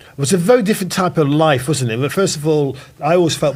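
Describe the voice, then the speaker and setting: A man speaks in an East Midlands accent. His voice is somewhat breathy. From Nottingham, England. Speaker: podcast host. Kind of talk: casual chat.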